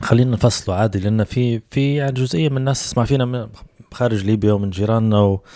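Speaking very fast with a Libyan accent, a man uses a medium pitch, a dark, mellow tone and fairly even intonation in a dry sound with no echo. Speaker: podcast host. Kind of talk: casual chat. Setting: studio. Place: home room. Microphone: handheld.

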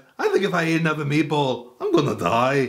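Someone uses a put-on character voice at a fairly quick pace. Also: man, fairly high pitch for a man. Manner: comedic cartoon impression.

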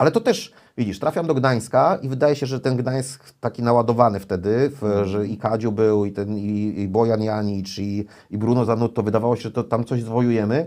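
With a dark, mellow tone and ordinary pitch variation, a man talks fairly quickly with hardly any pauses against a quiet background. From Poland. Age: 40s. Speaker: volleyball commentator and former player and coach; guest, coach. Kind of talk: casual interview. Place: studio.

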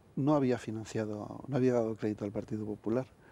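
The dry sound carries no echo as a man speaks in a dark, mellow tone. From Spain, Valladolid; Spain. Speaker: former government spokesman and author; former government spokesman. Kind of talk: TV interview. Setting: TV studio. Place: studio. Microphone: lapel.

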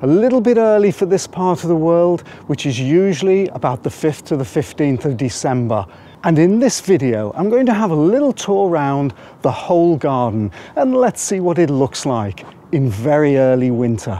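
A man's dark, mellow voice with very wide pitch swings, moderate pace and a dry sound with no echo. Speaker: gardening channel host. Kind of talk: casual garden tour vlog. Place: garden. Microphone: phone near.

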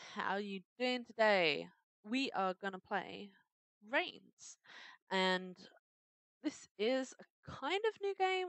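In a British accent, a woman speaks at a very slow pace with long, frequent pauses. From Britain. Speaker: gamer. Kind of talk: casual let's play commentary. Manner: upbeat.

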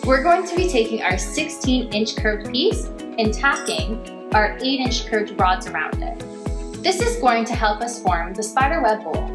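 A woman at a moderate pace over clear music in the background. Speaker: welding instructor. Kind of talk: tutorial. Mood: friendly, upbeat. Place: workshop. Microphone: lapel.

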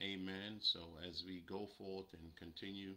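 The man's voice has a bright, sharp tone. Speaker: preacher. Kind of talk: sermon. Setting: livestream. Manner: animated. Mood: calm, reverent. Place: home room. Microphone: webcam.

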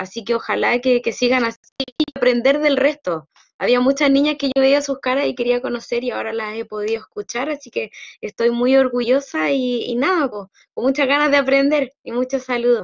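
The background is quiet. A woman speaks in a high voice. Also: ordinary pitch variation, moderate pace. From Chile. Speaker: student. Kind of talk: testimony. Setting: video call. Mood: warm, proud, smiling. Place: home room. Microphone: video call.

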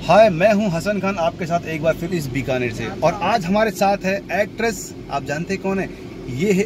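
There is noticeable background noise, though the sound is dry with no echo. A man talks over it at a moderate pace. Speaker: local vlogger host. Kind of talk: casual vlog chat. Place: car. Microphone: phone near.

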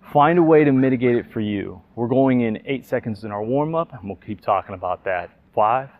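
At a fairly quick pace with hardly any pauses, a man talks with ordinary pitch variation in a dry recording with no echo. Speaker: fitness instructor. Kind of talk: workout tutorial. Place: garden.

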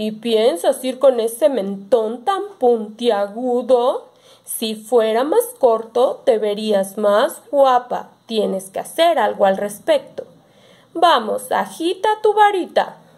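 Very slow delivery in a put-on character voice. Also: woman, high pitch for a woman. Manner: mocking, bossy.

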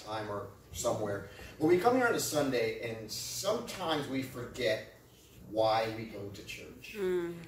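This man speaks at a moderate pace with lively intonation. Light background noise and audible room echo are present. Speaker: pastor. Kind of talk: sermon. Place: church. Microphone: camera far.

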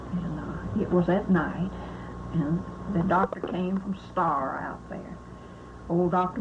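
Noticeable background noise surrounds a woman with a fairly low pitch. She speaks at a very slow pace with long, frequent pauses. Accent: Southern US. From US South, Mississippi. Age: 80s+. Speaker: elderly relative recounting family history. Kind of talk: oral history interview. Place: home room. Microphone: old recording.

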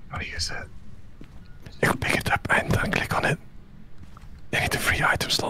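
Amid noticeable background noise, the voice whispers at a moderate pace, broken by long, frequent pauses. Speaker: streamer. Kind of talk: casual chat. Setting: live stream.

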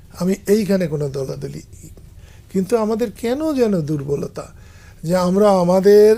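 A man's high voice with lively intonation. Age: 70s. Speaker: veteran politician. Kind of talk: interview.

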